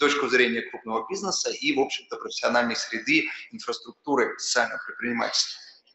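A man rattles off his words very fast, his voice echoing audibly around the room. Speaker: business association adviser; speaker. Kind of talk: panel talk. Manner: formal. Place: hall. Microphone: podium.

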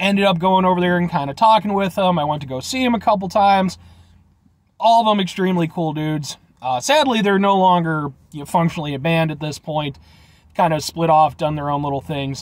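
In a dry sound with no echo, a man talks at a fairly quick pace with a high pitch and ordinary pitch variation. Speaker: food review vlogger. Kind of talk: casual vlog chat. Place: car. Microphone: phone near.

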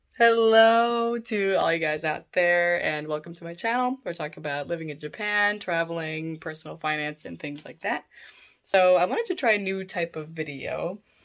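Big swings in loudness at a moderate pace, with ordinary pitch variation. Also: woman, fairly low pitch for a woman. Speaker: vlogger. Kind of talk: casual vlog chat. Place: home room. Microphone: phone near.

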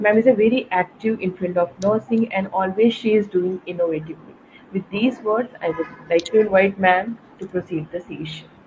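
Over music in the background, a woman at a medium pitch speaks at a fairly quick pace with ordinary pitch variation. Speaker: event moderator. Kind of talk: speaker introduction. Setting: video call. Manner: halting.

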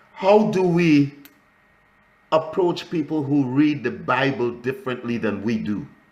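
A man with a Trinidadian accent talks at a fairly slow pace, his pitch fairly high and his intonation lively. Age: 70s. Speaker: ministry school instructor and pastor; ministry school instructor, pastor. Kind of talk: lecture. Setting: video call. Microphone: video call.

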